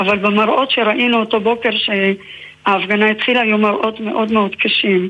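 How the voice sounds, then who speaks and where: A woman talks at a fairly slow pace in a fairly high voice. Her intonation stays monotone and flat. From Israel, Haifa. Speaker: novelist and researcher. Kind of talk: interview.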